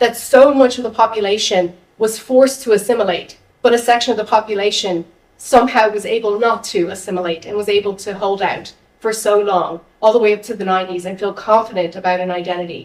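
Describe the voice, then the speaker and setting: With an American accent, a woman has a plain, everyday voice, a fairly high pitch, ordinary pitch variation, and a fairly quick pace. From United States. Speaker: local councillor. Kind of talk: audience question at public talk.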